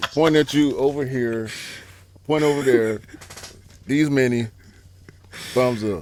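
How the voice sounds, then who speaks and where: A man speaks at a fairly slow pace in a medium pitch, with ordinary pitch variation and long, frequent pauses. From Atlanta, US South. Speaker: sneaker podcast co-host, rapper. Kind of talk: casual chat. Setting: studio table with mics.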